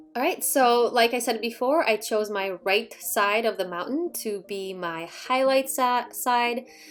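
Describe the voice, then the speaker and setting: A woman with a fairly high pitch talks at a fairly slow pace, using ordinary pitch variation and hardly any pauses. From Poland, moved to the US at ten. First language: Polish. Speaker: watercolor artist and art youtuber. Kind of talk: painting tutorial. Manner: relaxed, casual.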